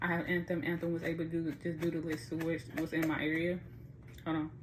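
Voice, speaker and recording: The woman's pitch is fairly low and her intonation monotone and flat. She talks at a fairly quick pace. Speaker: vlogger giving advice. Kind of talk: tutorial. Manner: fast; casual, halting.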